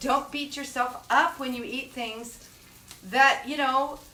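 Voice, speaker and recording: A woman's raised, projected voice at a high pitch, with audible room echo and noticeable background noise. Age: 60s. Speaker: cooking show host. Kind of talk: cooking tutorial. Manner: casual, chatty.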